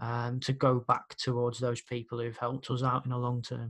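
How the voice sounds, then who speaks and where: The speaker has a Brummie accent and a fairly quick pace. Intonation stays monotone and flat. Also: man. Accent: Brummie (Birmingham) English. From Birmingham, England. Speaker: podcast host and music promoter. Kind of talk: casual chat.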